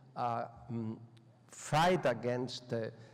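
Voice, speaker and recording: Room echo is audible as a man speaks at a very slow pace with ordinary pitch variation. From Spain. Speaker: professor. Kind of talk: lecture. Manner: halting.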